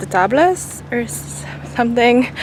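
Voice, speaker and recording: Noticeable background noise surrounds the woman, whose voice shows ordinary pitch variation. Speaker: vlogger. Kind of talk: casual vlog narration. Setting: outdoors walking around town; outdoors at the beach.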